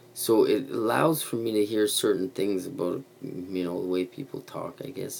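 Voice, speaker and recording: With a Quebec accent, a man speaks at a moderate pace in a fairly low voice with ordinary pitch variation. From Quebec, Canada (Montreal). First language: French (bilingual). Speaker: YouTube vlogger. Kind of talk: casual livestream chat. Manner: rambling with many fillers.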